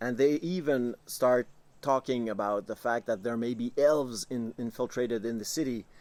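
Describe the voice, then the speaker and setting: A man's medium-pitched voice with a Quebec French accent, moderate pace and ordinary pitch variation. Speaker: tabletop game master. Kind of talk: tabletop campaign recap talk to camera. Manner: casual, hesitant with filler words.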